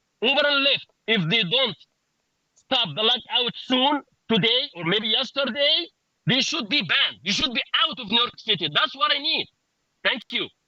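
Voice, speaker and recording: In a dry, close sound with no echo, a man projects a raised voice at an extremely high pitch with lively intonation, speaking at a moderate pace with long, frequent pauses. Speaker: rideshare driver. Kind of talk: press conference speech. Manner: loud; halting.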